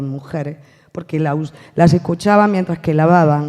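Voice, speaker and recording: On a very clean recording with a silent background, a dark, mellow voice moves at a fairly quick pace with ordinary pitch variation. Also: woman. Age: 50s. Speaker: actress. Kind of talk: round table talk. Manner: animated.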